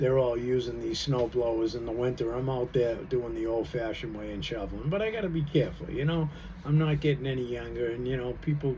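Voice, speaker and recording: With audible room echo and noticeable background noise around him, this man talks fairly quickly. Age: 60s. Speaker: vlogger. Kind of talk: casual monologue. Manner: relaxed, halting with fillers.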